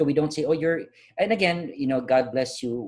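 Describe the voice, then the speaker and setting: A man at a very fast pace with very wide pitch swings. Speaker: life coach. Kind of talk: motivational talk. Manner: animated.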